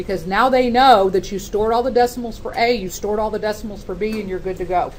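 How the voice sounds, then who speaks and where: Amid noticeable background noise and audible room echo, a woman with a fairly high pitch speaks at a very fast pace. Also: fairly even intonation. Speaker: math teacher. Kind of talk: classroom lecture.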